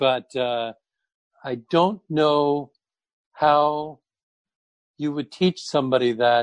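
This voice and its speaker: A man at a fairly high pitch, speaking at a very slow pace with ordinary pitch variation, in a dry, close sound with no echo. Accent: American. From US, New Jersey. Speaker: actor. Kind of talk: casual chat.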